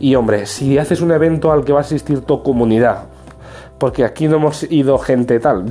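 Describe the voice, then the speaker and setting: Noticeable background noise sits behind a man's voice. He has a medium pitch and ordinary pitch variation. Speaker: tech youtuber. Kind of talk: casual vlog review.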